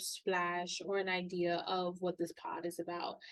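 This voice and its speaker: A woman is speaking. Her pace is fairly slow. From New York, Queens. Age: 20s. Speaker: podcast host. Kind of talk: casual personal podcast monologue. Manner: animated.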